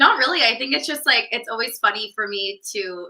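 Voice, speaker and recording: The pitch varies in an ordinary way, and noticeable background noise sits under the speech. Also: woman. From California. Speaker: business coach. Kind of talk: casual chat.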